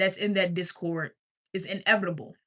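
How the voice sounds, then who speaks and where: Bright and sharp, a woman's animated voice carries a slight country accent. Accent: slight country twang. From US South, Richmond, Virginia. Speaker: life coach streamer. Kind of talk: sales pitch. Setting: livestream.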